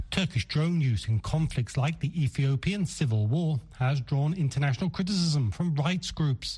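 With hardly any pauses, a man speaks at a fairly high pitch in a dark, mellow, somewhat breathy tone with lively intonation. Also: moderate pace, very even loudness. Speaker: foreign correspondent. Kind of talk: news report.

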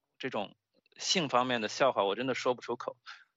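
A man talks at a fairly quick pace. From China. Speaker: stand-up comedian and political science PhD. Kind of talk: interview. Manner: halting, many fillers and repetitions.

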